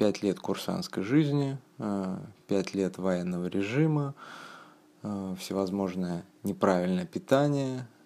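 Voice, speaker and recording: Lively intonation runs through a man's fairly low-pitched voice, which has a dark, mellow tone. He speaks at a very slow pace. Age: 30s. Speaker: former soldier sharing a health story. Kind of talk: personal testimony. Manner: halting, many fillers.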